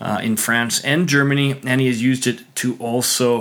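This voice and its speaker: Medium in pitch, a man talks in a normal speaking voice with fairly even intonation. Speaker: podcast host. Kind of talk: casual interview with sponsor reads.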